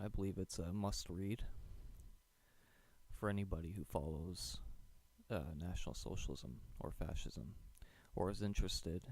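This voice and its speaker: A man talks at a moderate pace with ordinary pitch variation and vocal fry. Long, frequent pauses break up his speech. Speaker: audiobook narrator. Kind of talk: casual introduction to listeners.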